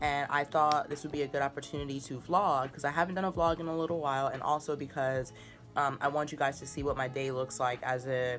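A woman with a very deep, low pitch speaks at a very fast pace with fairly even intonation. Faint music sits in the background. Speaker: vlogger. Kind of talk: casual vlog chat. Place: home room. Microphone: phone near.

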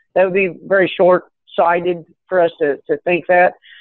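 A man with an American accent and a high pitch, recorded dry with no echo against a quiet background. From Kentucky. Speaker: cannabis business executive. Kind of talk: interview. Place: office. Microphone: video call.

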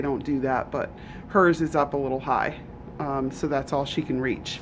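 The speech moves at a moderate pace, with light background noise underneath. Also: woman. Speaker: rabbit keeper. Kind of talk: casual vlog chat. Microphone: phone near.

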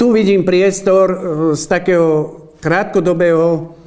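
Here a man talks at a fairly slow pace with fairly even intonation. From Slovakia, Zlaté Moravce; Slovakia. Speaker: mayoral candidate; candidate. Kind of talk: campaign announcement. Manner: formal. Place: meeting room.

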